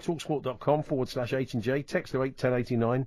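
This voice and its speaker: Over a quiet background, a man with a British accent talks at a medium pitch. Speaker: radio host. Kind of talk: casual chat. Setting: studio.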